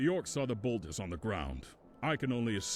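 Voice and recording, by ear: The voice sounds natural. Someone reads a text aloud.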